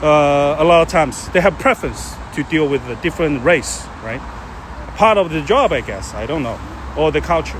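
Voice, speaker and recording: A man with a Chinese accent talks at a moderate pace against noticeable background noise. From China. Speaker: live streamer. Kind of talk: casual chat. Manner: halting.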